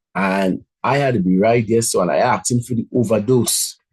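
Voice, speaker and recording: This man's voice is somewhat breathy. He speaks at a medium pitch with ordinary pitch variation. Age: 50s. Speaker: motivational speaker. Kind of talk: motivational talk.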